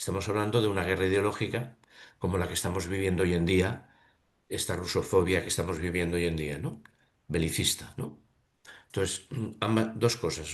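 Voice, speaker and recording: Against a quiet background, a man with a very deep, low pitch and ordinary pitch variation speaks with long, frequent pauses. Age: 70s. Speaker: reading seminar participant. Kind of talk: seminar discussion. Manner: halting.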